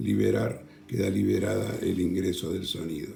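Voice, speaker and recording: Soft-spoken, a man moves at a very slow pace. Audible room echo fills the recording. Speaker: tech tutorial youtuber. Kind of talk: tutorial. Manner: halting, many fillers.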